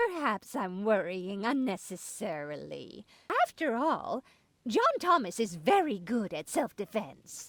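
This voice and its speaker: It is a put-on character voice with a fairly high pitch. The pace is fairly slow. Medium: video game. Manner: worried, fretful.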